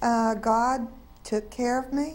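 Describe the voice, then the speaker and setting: In a Southern US accent, a woman talks at a very slow pace with a fairly high pitch and fairly even intonation. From North Carolina, US South. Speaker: interviewee sharing faith story. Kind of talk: testimony. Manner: halting.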